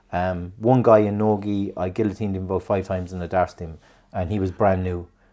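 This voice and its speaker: In a quiet background, a man with an Irish accent talks at a fairly quick pace in a very deep, low voice with a dark, mellow tone. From Ireland. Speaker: podcast host. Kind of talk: casual chat. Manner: animated.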